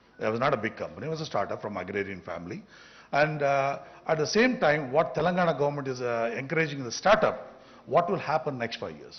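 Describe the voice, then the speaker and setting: Amid audible room echo, a man with a fairly high, fry-edged voice races at a very fast pace, his pitch swinging very widely and his loudness in big swings. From India. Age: 60s. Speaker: business founder. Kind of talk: off-the-cuff conference speech. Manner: halting.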